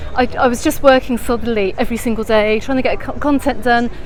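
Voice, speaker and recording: Speaking at a very fast pace, a woman uses a high pitch and a British accent. Background noise is noticeable. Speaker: travel vlogger. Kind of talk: live stream walking tour. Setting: outdoors.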